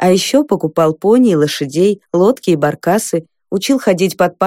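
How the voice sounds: The background stays quiet. A natural reading voice comes through.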